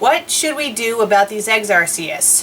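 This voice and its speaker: A female-sounding put-on character voice, fairly high in pitch, moves at a moderate pace over clear background noise. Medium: solo performance. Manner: polite, sweet.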